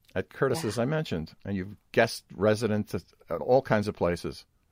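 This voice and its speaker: Dry and close with no echo, a man with a Brooklyn accent speaks at a very fast pace in a fairly low pitch. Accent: Brooklyn New York. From Brooklyn, New York. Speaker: podcast host. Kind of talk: casual interview conversation.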